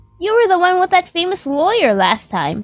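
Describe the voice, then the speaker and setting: A woman's squeaky, put-on character voice, pitched extremely high, at a moderate pace. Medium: game stream. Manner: nosy, chatty.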